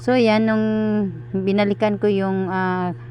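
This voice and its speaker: This is a woman talking. Her voice is pitched in the middle range. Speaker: cooking vlogger. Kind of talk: voiceover narration of cooking video. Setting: recorded at night when household asleep. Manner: halting, stuttering delivery; many filler sounds.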